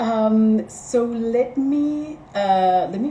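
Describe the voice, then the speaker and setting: A woman speaks with a fairly high pitch. Room echo is audible, and there's noticeable background noise. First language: Spanish. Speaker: organizer at a feminist think tank, live stream host. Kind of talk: live stream introduction. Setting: Instagram live stream. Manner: hesitant, many fillers.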